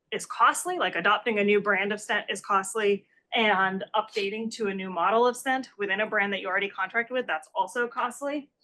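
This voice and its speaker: A woman speaks at a medium pitch with ordinary pitch variation. Her tone is bright and sharp. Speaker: economics researcher, conference discussant. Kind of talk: academic conference presentation. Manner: fast; hesitant, many fillers.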